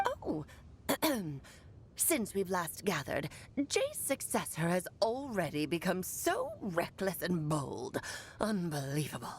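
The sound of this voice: A woman speaks in a put-on character voice at a medium pitch, moving at a fairly slow pace with long, frequent pauses. Background noise is clearly audible.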